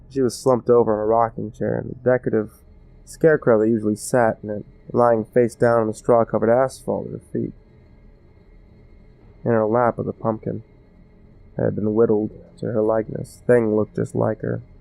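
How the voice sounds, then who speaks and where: A man's fairly low, monotone voice at a fairly quick pace, broken by long, frequent pauses, with music in the background. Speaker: storyteller. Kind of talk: horror story narration.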